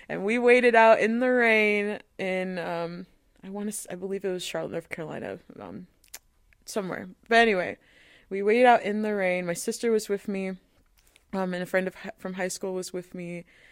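A plain, everyday voice from a woman, medium in pitch, fairly quick in pace, with fairly even intonation, in a very clean recording with a silent background. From US, moved among many states (military family). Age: 20s. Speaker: opera singer. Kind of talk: interview conversation.

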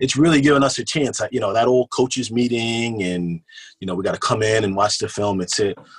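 A man with a normal speaking voice talks at a fairly quick pace with an American accent. His pitch is medium, with ordinary pitch variation. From Kingston, New York. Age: 30s. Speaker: high school football coach. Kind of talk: casual chat.

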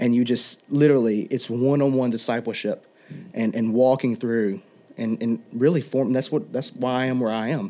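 At a moderate pace, a man talks in a dark, mellow tone with medium pitch and ordinary pitch variation. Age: 20s. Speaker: associate pastor and worship musician. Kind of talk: casual interview.

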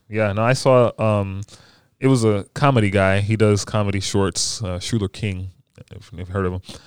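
In a very clean recording with a silent background, a man with an American accent talks at a fairly low pitch and a moderate pace, with fairly even intonation and big swings in loudness. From Maryland, DC area (Bowie). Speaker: youth minister and podcaster. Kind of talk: casual chat. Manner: smooth.

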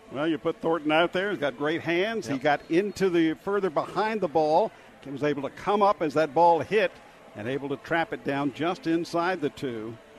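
At a moderate pace, a man with a plain, everyday voice talks in a fairly high pitch with ordinary pitch variation. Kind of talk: live color commentary. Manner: conversational, analytical, explanatory.

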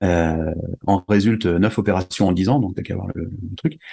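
The voice belongs to a man. His pitch variation is ordinary. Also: quiet background. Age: 40s. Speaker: musician, conductor and wakesurf athlete. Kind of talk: interview. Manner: halting, with many repetitions.

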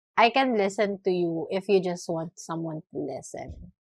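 The woman speaks at a very slow pace. The sound is dry and close, with no echo. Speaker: podcast co-host. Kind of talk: casual chat.

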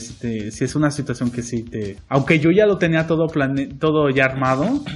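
A man with a plain, everyday voice, at a fairly slow pace with ordinary pitch variation. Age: 20s. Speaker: podcast co-host and acting student. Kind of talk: casual chat.

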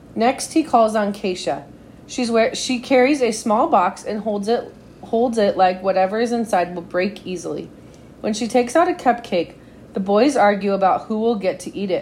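A woman's raspy, put-on character voice, fairly high in pitch, with lively intonation at a moderate pace. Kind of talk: read-aloud storytelling. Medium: read story.

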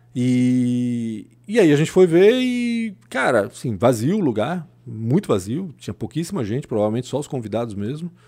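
With a dark, mellow tone and lively intonation, a man speaks at a medium pitch and moderate pace on a very clean recording with a silent background. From southern Brazil, Blumenau (born in Chile). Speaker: journalist. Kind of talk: casual chat.

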